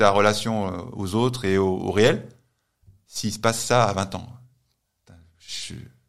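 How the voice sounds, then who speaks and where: Audible room echo follows a man whose voice rests at a medium pitch. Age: 40s. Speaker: strength and conditioning coach. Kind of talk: casual interview.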